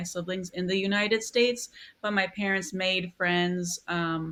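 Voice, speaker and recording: With an American accent, a woman speaks at a medium pitch using fairly even intonation. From US Midwest, Milwaukee, Wisconsin. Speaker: newspaper design editor. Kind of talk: interview.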